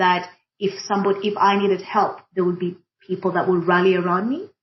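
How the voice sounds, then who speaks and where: A woman with an East African accent speaks at medium pitch, somewhat breathy. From Kenya. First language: Swahili. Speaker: diversity and inclusion practitioner. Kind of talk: panel conversation. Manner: hesitant, many fillers.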